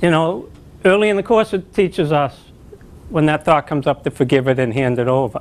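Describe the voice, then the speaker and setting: A man with a plain, everyday voice talks fairly quickly in a fairly high pitch with lively intonation. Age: 60s. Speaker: spiritual teacher. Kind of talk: spiritual talk.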